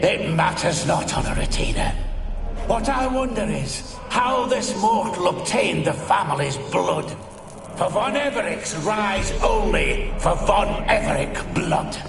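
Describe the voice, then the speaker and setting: A man uses a put-on character voice at a fairly slow pace. There is clear echo and loud background noise. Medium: machinima. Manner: haughty, cold.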